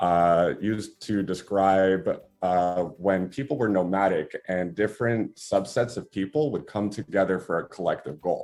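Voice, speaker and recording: Moderate pace in a Spanish accent. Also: man, fairly low pitch for a man, ordinary pitch variation, quiet background. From New York. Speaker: company founder. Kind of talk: interview.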